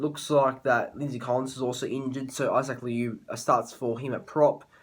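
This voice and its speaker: In an Australian accent, a man talks with a monotone, flat intonation. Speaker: sports tipping youtuber. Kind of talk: casual sports prediction monologue. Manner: fast; halting, many fillers and restarts.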